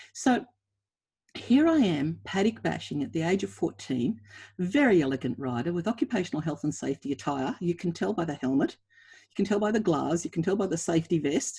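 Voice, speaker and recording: A woman's voice is somewhat breathy, with a dark, mellow tone. Her pitch swings very widely. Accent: Australian. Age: 60s. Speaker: equine anatomy researcher. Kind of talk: webinar presentation.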